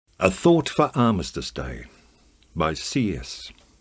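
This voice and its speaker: A man's very deep, low voice with vocal fry, very wide pitch swings and a very slow pace, on a very clean recording with a silent background. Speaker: amateur theatre performer. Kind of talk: poetry reading.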